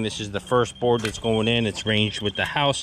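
Light background noise behind a man's dry voice with no echo. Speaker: excavation contractor. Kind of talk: tutorial commentary. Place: open country. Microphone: phone near.

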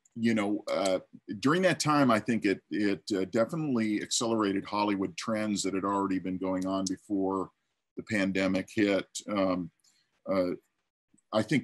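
In an unremarkable speaking voice, a man talks at a moderate pace. His pitch sits fairly low, and the background is quiet. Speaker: storyboard artist; panelist. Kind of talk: panel discussion answer. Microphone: video call.

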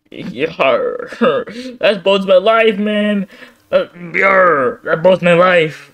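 A man puts on a character voice at a high pitch, drawing words out at a very slow pace. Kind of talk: comic overacting. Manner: defensive then pleading.

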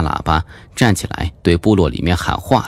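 Over noticeable background noise, a man with a very deep, low pitch talks at a moderate pace with ordinary pitch variation. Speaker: audiobook narrator. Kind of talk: audiobook narration of a horror suspense novel. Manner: varied, expressive delivery.

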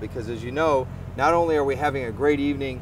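A man talks with a noticeable amount of background noise behind him. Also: dry sound with no echo. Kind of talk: promotional interview statement. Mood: upbeat, proud. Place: street. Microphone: lapel.

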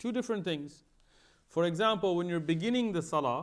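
Against a quiet backdrop, a man is talking. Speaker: religious teacher. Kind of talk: lecture. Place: church. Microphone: headset.

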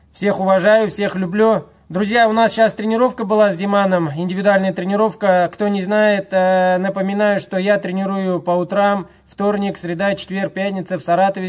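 Against a quiet background, a man speaks at a moderate pace. His pitch is high and his intonation is flat and monotone. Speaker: fitness trainer. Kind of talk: casual vlog chat. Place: gym. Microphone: phone near.

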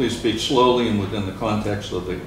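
Background noise and room echo are both audible as a man speaks. His voice is fairly low and his intonation fairly even. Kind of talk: formal procedural reading. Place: meeting room. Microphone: camera far.

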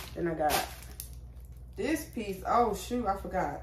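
There is audible room echo and light background noise as a woman speaks at a moderate pace. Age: 20s. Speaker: YouTuber. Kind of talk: try-on haul vlog. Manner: casual, chatty. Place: home room. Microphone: phone near.

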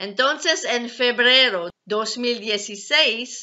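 Here a woman talks with ordinary pitch variation. Behind her the background stays quiet. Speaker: ex-Jehovah's Witness video blogger. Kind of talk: personal testimony vlog. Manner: halting, non-native phrasing. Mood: earnest, calm. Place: home room. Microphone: webcam.

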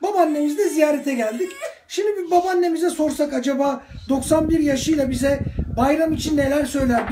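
A man speaks at a fairly quick pace with an extremely high pitch and ordinary pitch variation over noticeable background noise. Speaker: clinical psychologist. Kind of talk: casual talk to camera. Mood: warm, cheerful. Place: home room. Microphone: phone near.

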